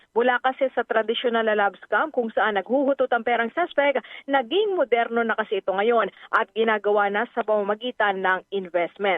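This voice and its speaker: Here is a woman with a plain, everyday voice and fairly high pitch. She speaks at a fairly quick pace, with ordinary pitch variation and very even loudness. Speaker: radio news reporter. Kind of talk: news reading.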